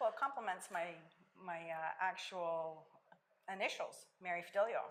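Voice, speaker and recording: A woman with an Italian accent talks at a moderate pace and a medium pitch, with ordinary pitch variation. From Italy. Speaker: life coach. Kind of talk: interview.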